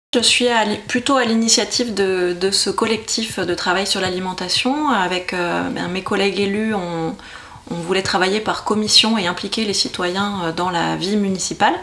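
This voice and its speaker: With fairly even intonation, a woman of medium pitch talks through audible room echo and noticeable background noise. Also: moderate pace. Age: 30s. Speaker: local councillor. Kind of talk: interview. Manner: hesitant, many fillers.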